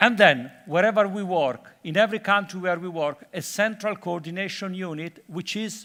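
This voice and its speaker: A man with an Italian accent speaks at a moderate pace in a high, bright, sharp voice. His pitch varies in an ordinary way, and the recording is very clean with a silent background. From Italy, Florence. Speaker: conference speaker, UN development worker. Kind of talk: conference talk. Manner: halting with many fillers.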